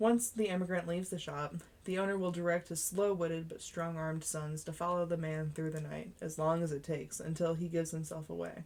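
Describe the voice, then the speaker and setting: A woman speaks in a normal speaking voice. Her pitch sits fairly low, with fairly even intonation. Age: 20s. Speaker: amateur audiobook narrator. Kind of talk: reading aloud. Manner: occasional stumbles and self-corrections.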